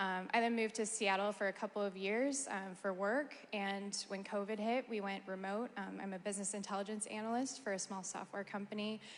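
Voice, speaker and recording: With an American accent and a normal speaking voice, a woman talks at a fairly quick pace and medium pitch, with hardly any pauses and fairly even intonation. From Oregon, US. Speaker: school board candidate. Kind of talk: candidate introduction.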